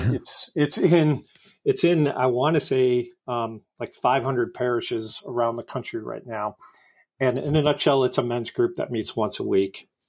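A man with an American accent and a normal speaking voice, medium pitch, ordinary pitch variation and a moderate pace. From US Midwest, Detroit area and Indianapolis. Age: 50s. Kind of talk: casual interview chat.

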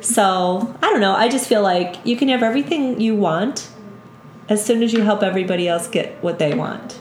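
A woman's fairly high voice with very even loudness, ordinary pitch variation, and a moderate pace, with audible room echo and music in the background. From western New York, south of Buffalo. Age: 50s. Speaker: yoga instructor. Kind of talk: casual interview chat.

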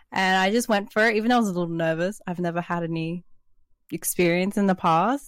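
A woman with an Australian accent talks very fast at a medium pitch with ordinary pitch variation, in a very clean recording with a silent background. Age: 20s. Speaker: artist and stream moderator. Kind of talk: casual interview. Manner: laughs often.

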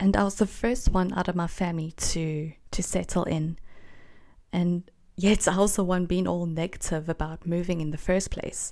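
A woman's fairly low, dark, mellow voice at a moderate pace, with fairly even intonation, on a very clean recording with a silent background. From South Africa, Gauteng (Boksburg). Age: 20s. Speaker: podcast host. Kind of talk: solo personal monologue.

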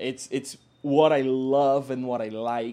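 At a very slow pace, a man of medium pitch speaks in a flat monotone with a dark, mellow tone. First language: not English. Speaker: music podcast co-host. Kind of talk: casual chat. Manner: halting, frequent repetitions.

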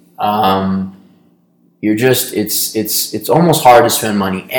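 With an American accent, a man talks at a moderate pace, his fairly low pitch showing ordinary pitch variation. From New York. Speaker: podcast co-host, business co-founder. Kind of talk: casual chat. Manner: hesitant, many fillers.

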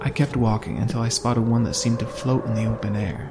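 The clip is reading aloud in a natural voice, with fairly even intonation.

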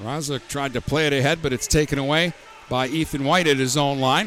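A man with a fairly high pitch speaks at a fairly quick pace, his intonation fairly even, amid noticeable background noise. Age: 50s. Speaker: hockey play-by-play announcer. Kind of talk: live play-by-play hockey commentary, rapid puck-tracking call. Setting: ice arena broadcast booth. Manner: brisk running narration of each pass and player name; chatty, opinionated asides with laughter between plays.

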